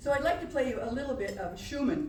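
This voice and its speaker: The woman speaks in an animated tone. There is audible echo from the room. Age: old. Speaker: pianist and storyteller. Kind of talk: stage storytelling between piano pieces. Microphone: no microphone working at first.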